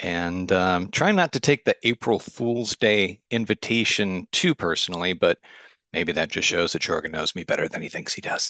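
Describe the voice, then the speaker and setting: A bright, sharp tone with a Chicago accent moves at a moderate pace with ordinary pitch variation against a quiet background. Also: man, fairly low pitch for a man, dry, close sound with no echo. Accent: American (Chicago). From US Midwest, Chicago. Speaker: agile consultant and author. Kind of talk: meetup talk presentation.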